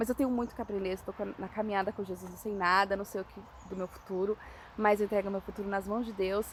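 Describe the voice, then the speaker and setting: Over noticeable background noise, a woman with a medium pitch speaks at a very fast pace in a monotone, flat way. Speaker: evangelist. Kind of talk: informal sermon. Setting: outdoors.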